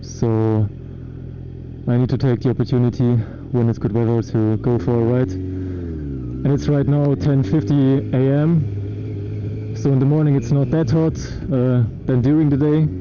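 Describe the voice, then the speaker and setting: With a German accent, a man at medium pitch speaks with lively intonation and very even loudness over noticeable background noise. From Germany. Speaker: motorcycle vlogger. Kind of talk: casual vlog monologue while riding. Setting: riding a motorcycle outdoors. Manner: halting, many fillers.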